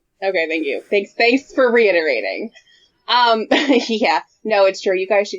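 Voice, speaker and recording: At a moderate pace, a woman with a fairly high pitch and lively intonation speaks in a dry, close sound with no echo. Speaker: podcast co-host. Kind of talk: casual chat. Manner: stumbles over words.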